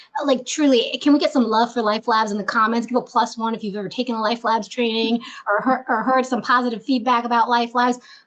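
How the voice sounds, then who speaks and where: A woman at a very fast pace, fairly high in pitch, animated in tone, with hardly any pauses. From grew up bilingual. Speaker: HR executive and webinar host. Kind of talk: webinar conversation.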